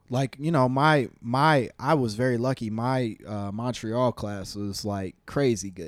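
A plain, everyday voice with an American accent, fairly slow in pace with hardly any pauses and ordinary pitch variation. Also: man, medium pitch for a man. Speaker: comedian. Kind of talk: casual interview chat.

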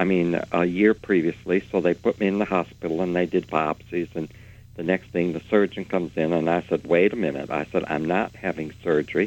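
The pace runs fairly quick. Intonation remains fairly even. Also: man, very deep, low pitch for a man. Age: 70s. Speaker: retired nursing professor and author. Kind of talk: interview discussion.

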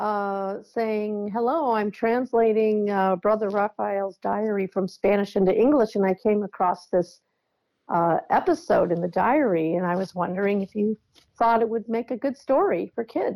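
In an American accent, a woman with a normal speaking voice talks at a moderate pace in a fairly high pitch. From US Midwest. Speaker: book editor and author. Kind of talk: interview.

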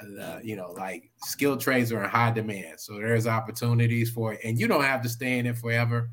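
A man with an American accent, medium in pitch, at a fairly quick pace with hardly any pauses, fairly even intonation, and audible room echo. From Oklahoma. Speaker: Navy veteran and public servant. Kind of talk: casual chat.

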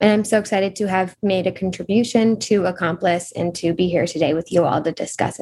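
Somewhat breathy and dark, mellow in tone, a woman at a medium pitch talks at a fairly quick pace with hardly any pauses and fairly even intonation. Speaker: undergraduate student. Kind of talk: panel discussion.

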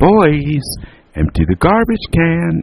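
Putting on a character voice, a man talks slowly at a fairly high pitch, with a slightly husky edge, vocal fry and very wide pitch swings. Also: dry, close sound with no echo.

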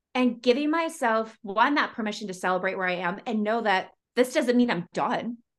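Here is a woman with a normal speaking voice, fairly high in pitch. She talks at a moderate pace with lively intonation. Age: 40s. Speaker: podcast host and life coach. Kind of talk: casual interview.

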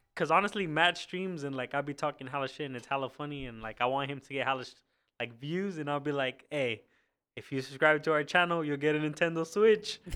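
Talking at a very fast pace, a man has a fairly high pitch, a bright, sharp tone and big swings in loudness. The recording is very clean, with a silent background. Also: ordinary pitch variation. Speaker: podcast guest. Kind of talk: casual chat.

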